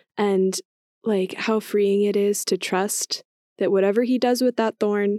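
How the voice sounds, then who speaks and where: A woman with an unremarkable speaking voice and an American accent talks at a fairly slow pace and medium pitch with fairly even intonation, the sound dry and close with no echo in a very clean recording over a silent background. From US, military family, settled in Northern Virginia. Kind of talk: casual chat.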